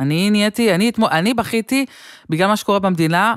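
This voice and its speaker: Recorded dry with no echo against a quiet background, a woman speaks. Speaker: comedian. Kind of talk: casual chat. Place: home room. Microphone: studio mic.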